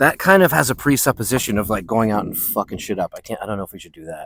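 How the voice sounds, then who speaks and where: A man at medium pitch speaks at a fairly quick pace in a playful tone with very wide pitch swings. The sound is dry and close with no echo. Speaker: podcast host. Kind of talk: casual rambling monologue. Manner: playful, rambling.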